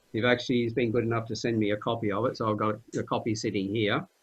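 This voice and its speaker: Speaking at a fairly quick pace, a man with an Australian accent uses a medium pitch and fairly even intonation. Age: 60s. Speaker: podcast host. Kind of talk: panel discussion.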